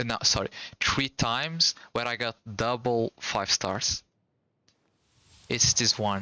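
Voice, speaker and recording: A man with a non-native accent at a very slow pace. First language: Portuguese. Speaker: gaming streamer. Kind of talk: casual live stream chat.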